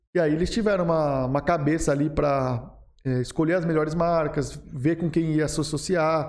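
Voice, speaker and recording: The delivery is a normal speaking voice at a moderate pace, with fairly even intonation and very even loudness. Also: man, fairly high pitch for a man. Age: 20s. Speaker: marketing agency founder. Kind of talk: podcast interview.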